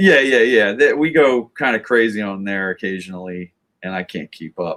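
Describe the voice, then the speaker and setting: In a very clean, dry, close recording with no echo and a silent background, a man speaks at a moderate pace with lively intonation and big swings in loudness. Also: fairly low pitch for a man. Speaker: band member hosting live stream. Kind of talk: casual live stream chat.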